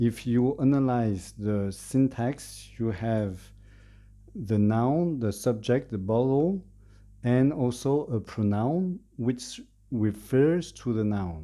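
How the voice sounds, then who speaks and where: A man's dark, mellow tone with a French accent, lively intonation and a very slow pace over a quiet background. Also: medium pitch for a man. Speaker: language learner giving a presentation. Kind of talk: presentation. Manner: halting, many fillers.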